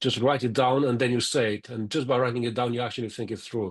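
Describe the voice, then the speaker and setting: Against a quiet background, a man talks at a fairly quick pace, his medium pitch held in fairly even intonation. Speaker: project manager. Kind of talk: panel discussion. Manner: fast.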